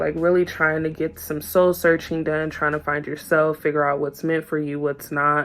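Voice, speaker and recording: A woman talks at a very deep, low pitch. Noticeable background noise is present. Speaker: tarot reader. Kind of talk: tarot reading monologue. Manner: gets loud when excited; starts calm and low.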